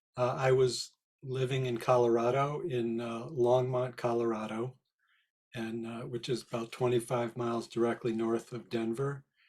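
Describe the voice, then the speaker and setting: The speaker is a man with a plain, everyday voice and fairly even intonation. He keeps to a medium pitch and a moderate pace. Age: 60s. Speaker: spiritual healer and therapist. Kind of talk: interview.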